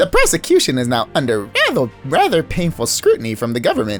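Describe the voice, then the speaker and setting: Over clear background music, a man uses a strained, put-on character voice with a fairly high pitch at a very fast pace. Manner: pompous, straining.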